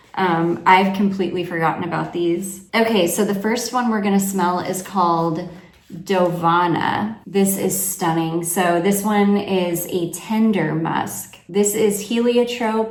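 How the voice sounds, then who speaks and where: Over noticeable background noise and audible room echo, a woman with a medium pitch speaks at a very slow pace with hardly any pauses and fairly even intonation. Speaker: fragrance reviewer. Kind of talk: product review vlog.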